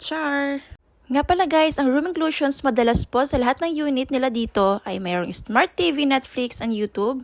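With a high pitch, lively intonation and a playful, animated tone, a woman speaks at a moderate pace in a dry, close sound with no echo. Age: 30s. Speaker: travel vlogger. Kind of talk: vlog narration.

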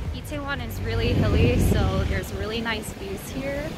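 Music plays in the background. A woman talks at a moderate pace. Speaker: vlogger. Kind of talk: casual vlog chat. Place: street. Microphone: phone near.

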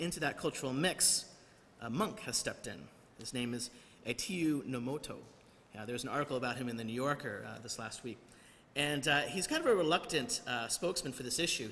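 The speaker is a man moving at a fairly quick pace. He shows ordinary pitch variation. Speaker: preacher. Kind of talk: sermon. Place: church. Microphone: podium.

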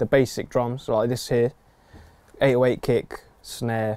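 The sound is dry with no echo. Light background noise can be heard. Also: man. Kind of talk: casual tutorial talk. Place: studio.

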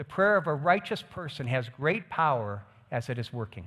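The background stays quiet as a man talks. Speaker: pastor. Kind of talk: sermon. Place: stage. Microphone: headset.

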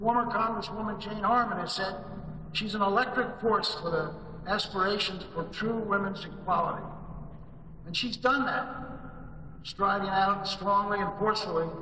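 A man uses a raised, projected voice with fairly even intonation at a moderate pace. Light background noise and audible room echo are present. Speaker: conference host introducing keynote. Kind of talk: formal speech introduction. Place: hall.

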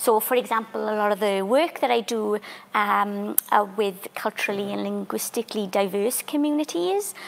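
Talking at a moderate pace in a Welsh accent, a woman shows ordinary pitch variation. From Wales, Welsh valleys; Wales. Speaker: theatre maker and community artist; panellist. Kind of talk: panel discussion. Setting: library museum, live stream. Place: hall.

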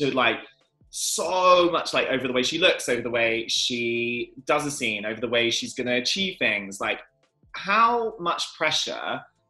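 Faint music plays in the background behind a man's voice. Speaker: chat show host. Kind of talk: celebrity interview host. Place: home room. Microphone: webcam.

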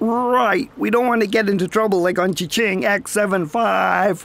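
This is a put-on character voice at a fairly high pitch. The pace is moderate.

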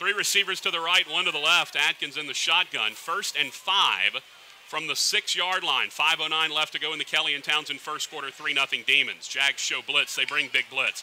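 Over noticeable background noise, a man with a fairly high pitch talks at a moderate pace with hardly any pauses and ordinary pitch variation. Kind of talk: football play-by-play commentary. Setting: stadium broadcast.

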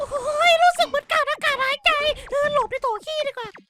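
A put-on character voice from a man, extremely high in pitch, with a playful tone. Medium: dub. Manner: playful, excitable.

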